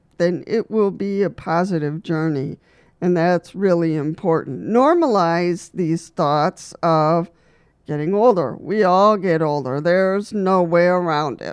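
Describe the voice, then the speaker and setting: A woman with an unremarkable speaking voice talks at a fairly slow pace in a fairly low pitch with ordinary pitch variation, on a very clean recording with a silent background. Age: 60s. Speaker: wheelchair user video host. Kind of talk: advice talk to camera. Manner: casual, with many fillers.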